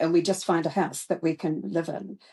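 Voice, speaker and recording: Speaking with a New Zealand accent, a woman uses a fairly low pitch and a dark, mellow tone in monotone, flat intonation. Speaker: retired teacher. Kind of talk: interview answer.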